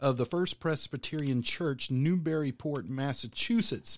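A man with a plain, everyday voice at a moderate pace and ordinary pitch variation, in a very clean recording with a silent background. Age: 40s. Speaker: pastor. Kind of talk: casual chat.

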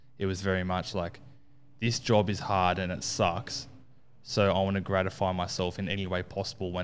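A man with a very deep, low pitch, an Australian accent, monotone, flat intonation, and a fairly quick pace in a very clean recording with a silent background. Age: 20s. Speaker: coach, former concreter. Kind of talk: casual chat.

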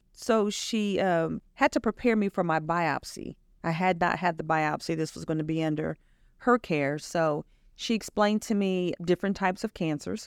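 In an ordinary speaking voice, a woman with an American accent talks at a moderate pace, fairly low in pitch, with ordinary pitch variation. The recording is very clean with a silent background, and the sound is dry and close with no echo. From US Midwest, Chicago, Illinois. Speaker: nonprofit founder, breast cancer survivor. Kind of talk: interview.

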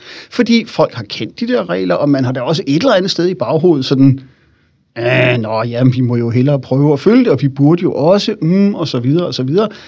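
The tone is dark and mellow, with very wide pitch swings. The pace is fairly quick. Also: man, fairly high pitch for a man. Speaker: historian and public speaker. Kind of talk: interview about his book. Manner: animated, engaging storyteller.

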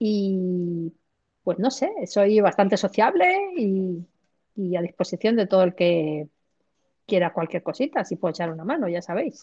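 A normal speaking voice from a woman, medium in pitch, at a fairly slow pace with ordinary pitch variation. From southern Spain, Granada. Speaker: physiotherapist. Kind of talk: interview. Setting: video call.

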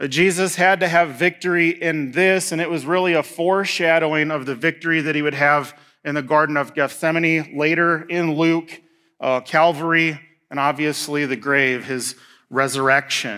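A man with a US Midwestern accent, fairly high pitch, a bright, sharp tone and fairly even intonation, in a very clean recording with a silent background. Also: moderate pace. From Indiana, US Midwest. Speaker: pastor. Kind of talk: sermon.

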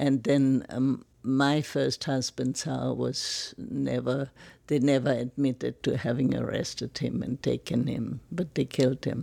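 A woman in a German accent at a fairly slow pace with hardly any pauses. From Austria. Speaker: author and human rights speaker. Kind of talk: casual interview chat.

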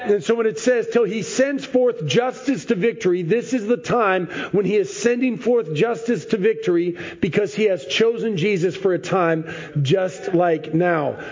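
A high-pitched man at a moderate pace, with ordinary pitch variation, very even loudness and noticeable background noise. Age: 40s. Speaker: pastor. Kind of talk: sermon.

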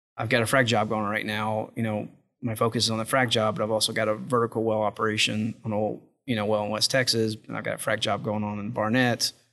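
A man talks at a very fast pace with monotone, flat intonation and a bright, sharp tone. The recording is very clean, with a silent background. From South Louisiana. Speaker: oil company operations manager. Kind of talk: interview conversation. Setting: restaurant dining room.

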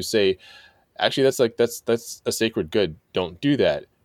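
In a very clean recording with a silent background, a man with an ordinary speaking voice talks at medium pitch with ordinary pitch variation. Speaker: magazine editor and writer. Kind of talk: casual discussion.

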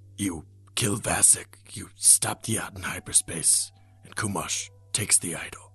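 Whispering in a put-on character voice at a moderate pace, the speaker is heard over clear music in the background. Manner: hushed whisper.

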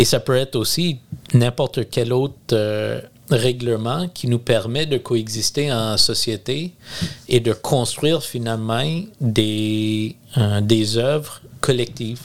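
A man's medium-pitched voice in a Quebec accent, ordinary pitch variation, very slow pace. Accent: Québécois French. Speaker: freemason. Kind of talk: casual chat.

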